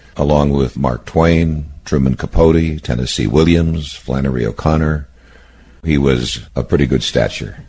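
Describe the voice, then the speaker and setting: The speech comes at a fairly slow pace with fairly even intonation and very even loudness, set against noticeable background noise. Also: man, very deep, low pitch for a man. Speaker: oral history interviewer. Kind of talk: interview questions.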